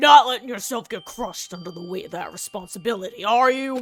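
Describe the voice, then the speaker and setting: A put-on character voice rattles along at a very fast pace with fairly high pitch. Faint music plays in the background. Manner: gruff, casual.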